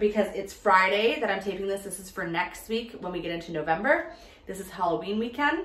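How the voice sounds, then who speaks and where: A woman talks at a fairly quick pace with big swings in loudness. Audible room echo surrounds her voice. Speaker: home decor vlogger. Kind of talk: casual vlog chat. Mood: cheerful, cozy. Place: home room. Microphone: camera far.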